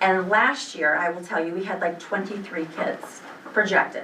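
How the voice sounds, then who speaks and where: Noticeable background noise runs through the clip. The room echo is audible too. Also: woman. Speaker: school administrator. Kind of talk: board meeting report. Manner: fast; animated.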